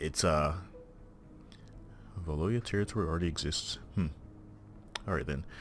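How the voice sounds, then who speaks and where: Quiet and at a moderate pace, the speaker uses ordinary pitch variation and takes long, frequent pauses. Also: man, very deep, low pitch for a man. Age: 20s. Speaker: gaming youtuber. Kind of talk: gameplay commentary. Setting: recording at home at night. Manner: hesitant, many fillers.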